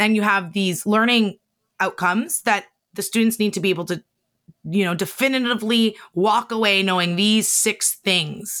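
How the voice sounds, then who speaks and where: A woman at a medium pitch with an animated tone, very even loudness and a moderate pace, on a very clean recording with a silent background. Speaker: podcast producer and author. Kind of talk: interview conversation. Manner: animated, laughs often.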